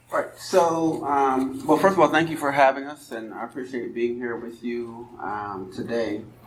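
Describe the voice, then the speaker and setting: At a moderate pace and with hardly any pauses, a man with a medium pitch and ordinary pitch variation talks in big swings of loudness against noticeable background noise. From Jamaica, then Camden, New Jersey from age 11. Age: 40s. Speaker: English professor. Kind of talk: panel interview.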